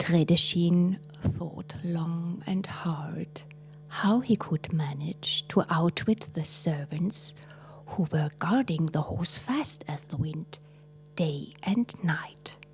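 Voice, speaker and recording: A woman speaks very slowly in a fairly low voice with ordinary pitch variation, music playing behind her. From Switzerland. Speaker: storyteller. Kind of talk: fairy tale storytelling.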